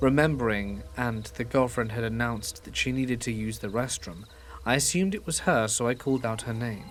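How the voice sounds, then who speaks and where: Over music in the background, the speech moves at a fairly quick pace with ordinary pitch variation. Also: man, medium pitch for a man. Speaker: horror story narrator. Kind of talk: scary story reading.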